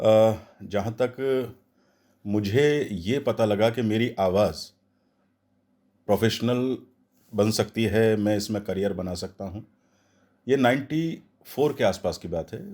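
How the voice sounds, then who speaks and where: A man's dark, mellow, fairly low voice with ordinary pitch variation and long, frequent pauses, in a very clean recording with a silent background. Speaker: voice over artist. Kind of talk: interview answer.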